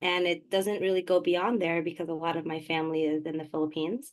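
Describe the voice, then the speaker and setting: A normal speaking voice from a woman, fairly low in pitch, with fairly even intonation. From New York City, Queens (born Manila, moved at four). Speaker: poet and community organizer. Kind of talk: interview.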